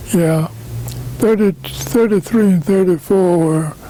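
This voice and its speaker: Over noticeable background noise, the speaker goes at a very slow pace with ordinary pitch variation. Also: man. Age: 80s+. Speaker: trucking company founder. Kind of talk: interview answer.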